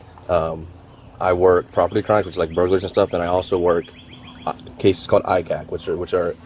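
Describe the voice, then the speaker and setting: Noticeable background noise fills the recording. Over it, a man talks at a very fast pace. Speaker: sheriff's detective. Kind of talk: police interview.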